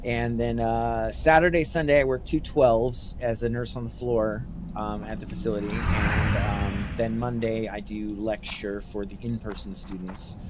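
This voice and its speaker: A man with an American accent talks at a moderate pace in a relaxed tone, with hardly any pauses. The recording has audible room echo and noticeable background noise. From Northern California (Humboldt County). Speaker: gaming streamer, nurse. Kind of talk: casual livestream chat while gaming. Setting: livestream. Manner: relaxed, with many fillers; not loud.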